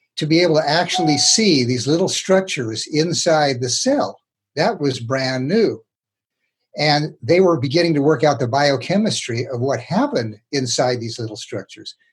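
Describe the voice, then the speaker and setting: A man talks at a moderate pace with a fairly high pitch. His voice is somewhat breathy, and his intonation is lively. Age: 80s+. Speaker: retired psychiatrist. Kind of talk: interview. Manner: informal.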